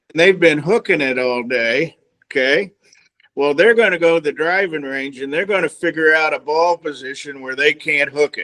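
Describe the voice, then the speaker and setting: A plain, everyday voice, this man speaks at a fairly high pitch and a moderate pace with ordinary pitch variation, the sound dry and close with no echo. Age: 60s. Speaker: golf instructor. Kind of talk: casual chat.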